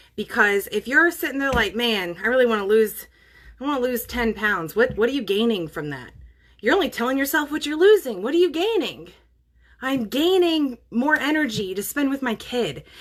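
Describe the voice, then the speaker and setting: The pitch swings very widely at a moderate pace. The recording is very clean, with a silent background. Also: woman, high pitch for a woman. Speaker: wellness vlogger. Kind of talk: motivational talk. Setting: livestream. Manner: mumbling; casual.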